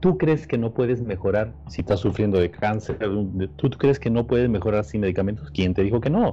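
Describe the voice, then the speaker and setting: A man's fairly low, somewhat breathy voice with a dark, mellow tone, lively intonation, a moderate pace and a Peruvian accent. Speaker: podcast co-host. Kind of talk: casual chat.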